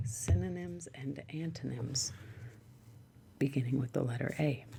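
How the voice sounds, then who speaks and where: Soft-spoken and calm in tone, a woman talks at a fairly slow pace. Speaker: ASMR content creator. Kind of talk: ASMR reading of a dictionary. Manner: soft, calm, regular to slow pace.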